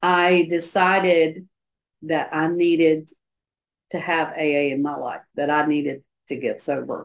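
Her voice very deep and low, a woman speaks at a fairly slow pace in a monotone, flat intonation, with long, frequent pauses. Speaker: AA speaker sharing recovery story. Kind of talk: testimony. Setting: video call meeting. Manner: halting, frequent pauses and fillers. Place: hall.

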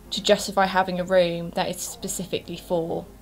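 Faint background music beneath a woman talking fairly slowly. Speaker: beauty vlogger. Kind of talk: casual vlog chat. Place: home room. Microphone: camera far.

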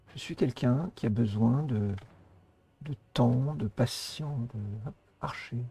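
Speaking very slowly with long, frequent pauses, a man with a dark, mellow tone and a medium pitch sounds somewhat breathy, his pitch varying in an ordinary way. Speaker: gaming YouTuber. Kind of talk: casual chat.

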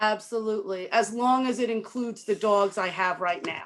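In a plain, everyday voice, the speech moves at a fairly slow pace with ordinary pitch variation. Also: woman. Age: 60s. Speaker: dog breeder applicant. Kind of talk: public meeting discussion.

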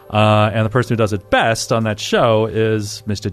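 With an American accent and a fairly low pitch, a man speaks at a moderate pace over music in the background. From Denver, US. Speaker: tabletop role-play player. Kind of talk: casual chat.

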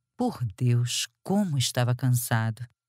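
A woman's very deep, low voice is heard on a very clean recording with a silent background. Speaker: audiobook narrator. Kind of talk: audiobook reading of a historical romance novel, scripted narration with character voices. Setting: studio. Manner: measured, expressive storytelling pace, with dry wit and shifts of tone for dialogue.

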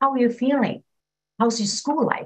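Her voice somewhat breathy, a woman speaks at a fairly high pitch. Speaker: community organizer; panelist. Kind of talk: panel discussion. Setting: video call. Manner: enthusiastic. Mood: earnest advocacy. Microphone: webcam.

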